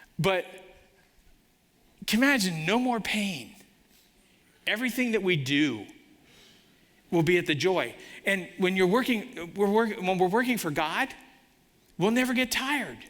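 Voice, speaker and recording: With audible room echo, a man at a high pitch speaks at a moderate pace with lively intonation, very even loudness, and long, frequent pauses. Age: 60s. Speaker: guest preacher, business owner. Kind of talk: sermon. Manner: animated.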